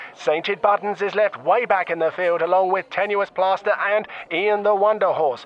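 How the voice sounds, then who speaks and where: A man with a high pitch keeps his loudness very even over noticeable background noise. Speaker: comedic horse racing commentator. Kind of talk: breathless escalating race call, spoof live horse racing commentary. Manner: rapid-fire, rising excitement as the field tussles for position; frantic repetition of horse names in the tight finish.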